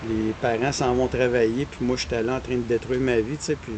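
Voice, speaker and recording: Noticeable background noise sits behind a man with a Quebec accent. He talks at a fairly quick pace and medium pitch, in a monotone, flat intonation. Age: 60s. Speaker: runner. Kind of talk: podcast interview.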